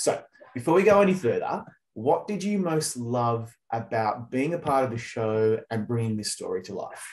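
A man speaks at a moderate pace with an Australian accent and a medium pitch. The background is quiet. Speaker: entertainment journalist interviewer. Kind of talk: interview. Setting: video call. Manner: animated. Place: home room. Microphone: video call.

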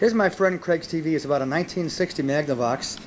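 Over light background noise, a man speaks very fast with ordinary pitch variation. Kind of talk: casual home video narration. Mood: wry, joking. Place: home room. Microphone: old recording.

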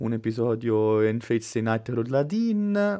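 Here a man talks with very wide pitch swings. The background is quiet. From Italy. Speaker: anime youtuber host. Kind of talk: casual live chat, joking banter. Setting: online livestream. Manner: jokey, rowdy, vulgar. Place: home room.

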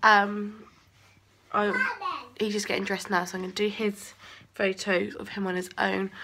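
Moderate pace over light background noise. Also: woman. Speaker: parent vlogger. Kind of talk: casual vlog chat. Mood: relaxed, tender. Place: home room. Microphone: phone near.

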